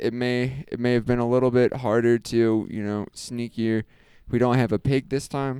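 Speaking at a moderate pace, a man with medium pitch keeps a monotone, flat intonation. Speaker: podcast host. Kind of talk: casual chat.

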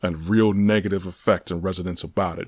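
With ordinary pitch variation, a man talks fairly quickly. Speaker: podcaster. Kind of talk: solo podcast monologue.

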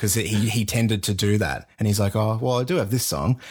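In a very clean recording with a silent background, a man with an Australian accent talks at a fairly quick pace with fairly even intonation. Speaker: podcast host. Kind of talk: casual chat.

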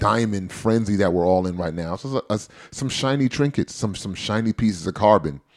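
A man's normal speaking voice, fairly low in pitch, with ordinary pitch variation at a moderate pace on a very clean recording with a silent background. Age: 30s. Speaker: podcast host. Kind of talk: casual chat.

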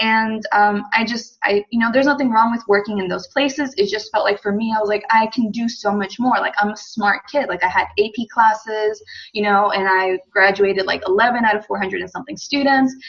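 A woman with an American accent talks at a moderate pace with hardly any pauses. Her pitch is fairly high and her intonation fairly even. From United States. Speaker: female empowerment coach. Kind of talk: podcast interview. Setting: call.

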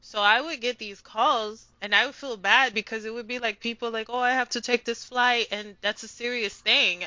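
A woman with a New York accent at a moderate pace, with hardly any pauses and fairly even intonation. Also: fairly high pitch for a woman. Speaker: language community founder. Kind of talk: interview.

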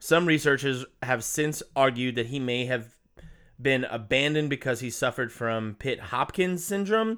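Using a Southern US accent, a man talks at a medium pitch and a moderate pace with lively intonation. The recording is very clean and the background silent. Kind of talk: casual chat, storytelling. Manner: animated.

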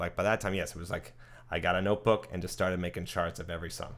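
At a very fast pace, a man with a very deep, low pitch speaks with ordinary pitch variation. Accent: American. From New Jersey, US. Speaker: guitarist. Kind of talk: interview. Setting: at his home.

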